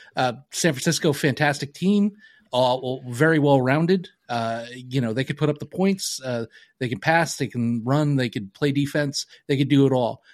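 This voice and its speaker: In a very clean recording with a silent background, a man with a normal speaking voice, fairly high pitch and ordinary pitch variation talks at a moderate pace. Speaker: podcast co-host. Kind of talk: casual chat. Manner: profane, casual.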